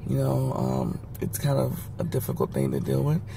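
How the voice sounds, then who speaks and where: A man talks at a moderate pace, with noticeable background noise and audible room echo around him. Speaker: health vlogger. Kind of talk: casual vlog monologue. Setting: in a car.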